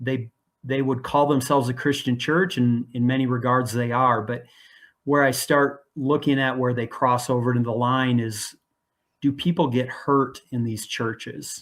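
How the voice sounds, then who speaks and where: A man with an ordinary speaking voice talks at a moderate pace with fairly even intonation in a very clean recording with a silent background. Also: medium pitch for a man. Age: 60s. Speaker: guest speaker on church abuse, blogger. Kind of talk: interview conversation.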